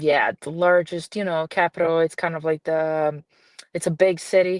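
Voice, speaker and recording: Over a quiet background, a woman speaks at a moderate pace. Her voice is fairly low in pitch, with monotone, flat intonation. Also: dry, close sound with no echo. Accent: slight Brazilian. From Brazil, grew up in a small town. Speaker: film producer and director. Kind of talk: podcast interview. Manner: hesitant, many fillers.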